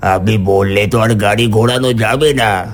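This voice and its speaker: A man speaks in a cartoonish character voice at a medium pitch, with clear music playing in the background. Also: moderate pace. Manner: grave, curt.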